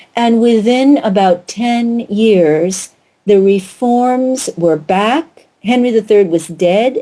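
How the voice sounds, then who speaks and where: A woman's fairly high, dark, mellow voice with an American accent and ordinary pitch variation. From United States. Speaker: author and historian. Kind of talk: radio interview.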